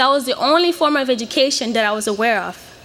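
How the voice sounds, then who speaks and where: A woman with a Portuguese accent speaks at a very fast pace in a high voice with lively intonation, over noticeable background noise. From Mozambique, Beira. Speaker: graduating student. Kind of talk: commencement speech. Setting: stage with audience.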